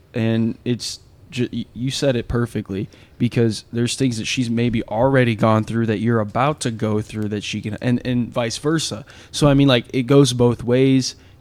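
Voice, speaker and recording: In an ordinary speaking voice with an American accent, a man keeps a medium pitch, fairly even intonation and a moderate pace. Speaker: podcast host. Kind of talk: casual interview chat.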